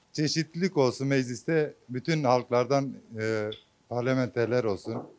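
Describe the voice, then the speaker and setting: With a Kurdish accent, a man speaks at a very slow pace and a medium pitch, showing ordinary pitch variation. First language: Kurdish (speaking Turkish). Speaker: voter interviewed on the street. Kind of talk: street interview. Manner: hesitant, many fillers.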